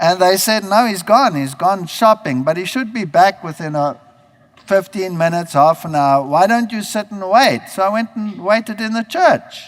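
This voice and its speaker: Lively intonation at a moderate pace from a man with a high voice. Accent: German. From Germany. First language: German. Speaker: preacher. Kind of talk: sermon.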